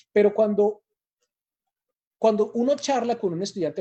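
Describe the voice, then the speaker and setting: Against a quiet background, a man with a dark, mellow tone talks at a fairly quick pace. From Colombia, Manizales and Pasto. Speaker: teacher trainer. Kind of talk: lecture.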